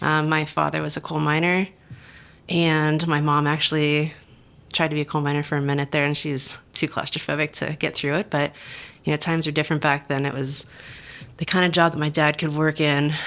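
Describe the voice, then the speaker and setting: A woman speaks with a western Pennsylvania accent at a fairly quick pace. Her pitch is very deep and low, and her intonation is monotone and flat. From southwestern Pennsylvania. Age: 40s. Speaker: restaurant general manager. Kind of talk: podcast interview.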